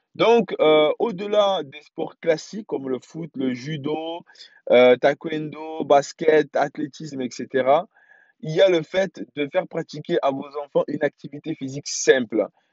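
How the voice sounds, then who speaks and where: A man speaks at a very slow pace with ordinary pitch variation and big swings in loudness. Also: fairly high pitch for a man. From France. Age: 30s. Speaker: podcast host, father. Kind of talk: solo podcast monologue. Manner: halting, many fillers and restarts.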